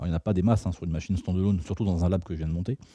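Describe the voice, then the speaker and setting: In a quiet background, a man's somewhat breathy voice comes through with a dark, mellow tone. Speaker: security researcher and tool author presenting at a conference. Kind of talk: technical talk with live demo. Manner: fast; casual, conversational.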